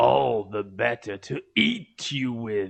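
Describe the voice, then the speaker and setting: A man's put-on character voice at medium pitch, delivered at a fairly slow pace. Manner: shouting.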